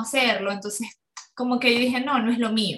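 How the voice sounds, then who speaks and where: The woman's voice sits at a fairly high pitch. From Venezuela, Ciudad Ojeda near Maracaibo. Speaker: yoga instructor. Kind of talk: interview. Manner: halting, many fillers.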